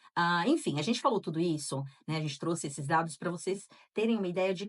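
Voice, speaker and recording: This woman has an unremarkable speaking voice, fairly low in pitch, with ordinary pitch variation and a fairly quick pace. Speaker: podcast co-host. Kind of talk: casual podcast chat with read-out listener accounts.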